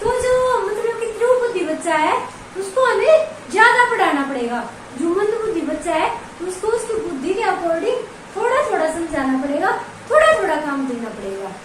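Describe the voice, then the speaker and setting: A woman speaks at a fairly slow pace, her extremely high voice swinging very widely in pitch, with audible echo from the room. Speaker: online exam-prep teacher. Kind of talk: lecture. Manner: conversational, repetitive explaining.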